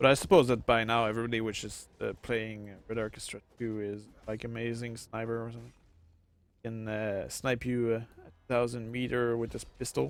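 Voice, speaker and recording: With a Quebec accent, a man talks at a moderate pace and medium pitch, his intonation flat and monotone while his loudness swings widely. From Quebec, Canada. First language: French. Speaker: gaming streamer. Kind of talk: live gameplay commentary. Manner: halting, many fillers.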